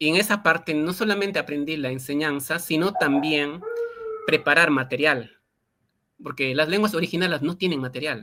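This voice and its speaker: A man with an Andean accent speaks in a bright, sharp tone at a fairly high pitch. His pace is moderate and his pitch variation ordinary. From Peruvian Andes, Quechua-speaking area. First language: Quechua (speaking Spanish). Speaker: linguist and Quechua teacher. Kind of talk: interview. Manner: halting, many fillers.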